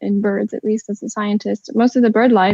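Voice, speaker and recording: Her fairly high voice is somewhat breathy, and the woman speaks with a monotone, flat intonation. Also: dry, close sound with no echo. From China, Beijing. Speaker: ornithologist. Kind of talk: panel discussion.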